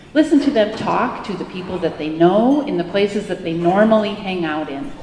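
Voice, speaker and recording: A woman with a Wisconsin accent talks with very wide pitch swings, with audible room echo and noticeable background noise. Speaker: professor. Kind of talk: keynote speech.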